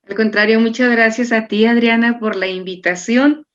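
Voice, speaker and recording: The background is quiet. A woman speaks at a fairly high pitch. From Chihuahua, northern Mexico. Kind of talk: interview explanation.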